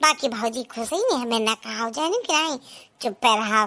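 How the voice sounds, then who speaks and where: A woman performs a cartoonish character voice with ordinary pitch variation. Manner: rustic, plaintive.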